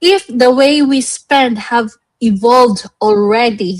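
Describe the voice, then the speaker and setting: A woman with a Visayan Filipino accent, fairly high in pitch, with ordinary pitch variation. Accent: Filipino (Cebuano) English. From Philippines, Cebu. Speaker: livestream host. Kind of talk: live online show, motivational business talk. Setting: livestream.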